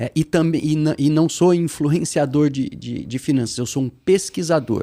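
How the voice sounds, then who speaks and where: The voice has a dark, mellow tone, heard on a very clean recording with a silent background. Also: man. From Brazil, interior of São Paulo state (São José do Rio Preto). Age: 50s. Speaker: investor and researcher. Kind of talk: podcast interview. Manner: hesitant, many fillers.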